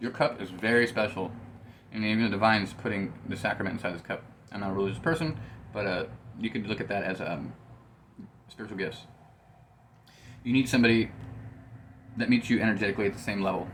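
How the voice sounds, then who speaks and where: Very fast yet broken by long, frequent pauses, a man speaks in a fairly low voice with ordinary pitch variation. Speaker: tarot reader and psychic medium. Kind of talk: tarot reading monologue. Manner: casual, swearing, with filler words.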